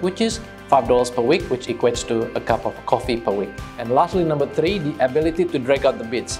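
Clear music plays in the background as a man talks at a very fast pace. His medium-pitched voice has lively intonation. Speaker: real estate agent. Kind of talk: corporate explainer to camera. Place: office. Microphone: lapel.

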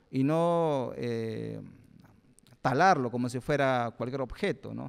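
With lively intonation and a medium pitch, a man talks over a quiet background. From Peru, Lima (born in Pucallpa, Ucayali); Lima. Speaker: guest. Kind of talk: public talk. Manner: halting, with frequent fillers. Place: hall. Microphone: handheld.

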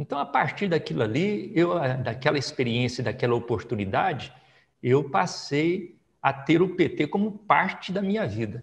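A man's fairly high, somewhat breathy voice with very wide pitch swings, over a quiet background. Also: moderate pace. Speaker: politician, federal deputy. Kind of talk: oral history interview. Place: home room. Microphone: lapel.

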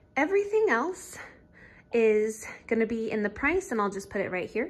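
A woman speaks at a moderate pace. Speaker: stay-at-home parent vlogger. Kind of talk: casual vlog chat. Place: home room. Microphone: phone near.

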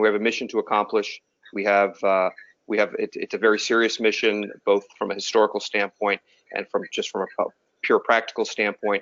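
The talking runs at a fairly quick pace in a dry sound with no echo. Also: man. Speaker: pilot. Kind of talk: panel discussion. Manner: halting. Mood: earnest, serious. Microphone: video call.

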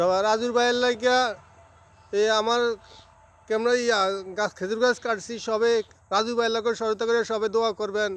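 Speaking in a monotone, flat way, a man uses a high pitch at very even loudness. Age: old. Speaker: date palm sap collector. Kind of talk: casual interview.

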